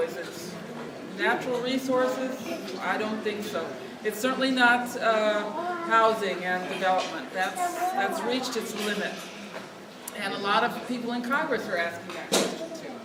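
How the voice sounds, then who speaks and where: Against noticeable background noise and audible room echo, a woman speaks at a fairly high pitch and moderate pace with long, frequent pauses. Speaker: food activist, nonprofit leader. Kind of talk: speech at lobby event. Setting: event room, no microphone. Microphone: no microphone.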